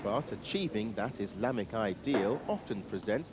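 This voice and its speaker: Against noticeable background noise, a man talks at a moderate pace with lively intonation. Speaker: TV news reporter. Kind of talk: TV news report narration.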